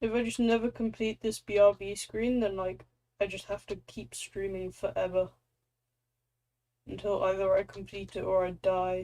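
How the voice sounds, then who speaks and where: Her voice sits at a medium pitch with a dark, mellow tone. The woman keeps a moderate pace and fairly even intonation. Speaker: streamer. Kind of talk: casual chat. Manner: loud.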